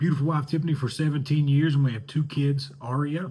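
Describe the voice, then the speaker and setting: A man's fairly high, somewhat breathy voice. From Eastern Kentucky, Hazard (Appalachian mountains). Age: 30s. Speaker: student and communications professional. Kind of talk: class introduction video. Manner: hesitant, many fillers and repetitions.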